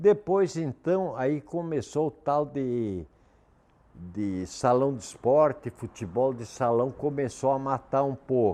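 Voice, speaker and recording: Lively in intonation yet very slow in pace, a man speaks at a medium pitch with a dark, mellow tone. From southern Brazil, Erechim, Rio Grande do Sul. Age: 70s. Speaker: local elder sharing memories. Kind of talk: reminiscing interview.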